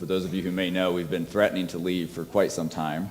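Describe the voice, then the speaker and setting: Audible room echo surrounds a man whose pitch is very deep and low. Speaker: physician and guest preacher. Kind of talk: sermon. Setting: church. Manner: loud.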